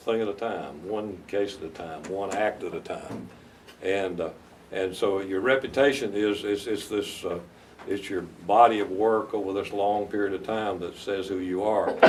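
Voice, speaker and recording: A man speaks in a Southern US accent. His pace is moderate. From US South, North Carolina. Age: 70s. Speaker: veteran lawyer. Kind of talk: interview advice to law students. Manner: halting, many repetitions.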